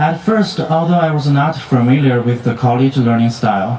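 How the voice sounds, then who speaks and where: A man with a non-native accent speaks at a moderate pace and a medium pitch, his intonation lively. Room echo is audible, and there is noticeable background noise. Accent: foreign. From outside the US, international student. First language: not English. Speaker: student speaker, graduate. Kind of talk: commencement speech. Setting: stage with audience at graduation ceremony. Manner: halting, with self-corrections.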